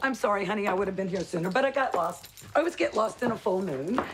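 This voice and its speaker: Putting on a character voice, a woman at a medium pitch speaks raspily at a very fast pace with lively intonation over clear background noise. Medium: short film. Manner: effusive, dreamy, gushing.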